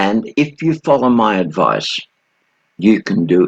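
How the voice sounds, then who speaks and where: At a very slow pace, a man speaks with vocal fry and very wide pitch swings, in a dry, close sound with no echo. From Australia. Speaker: sales trainer. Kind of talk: video introduction.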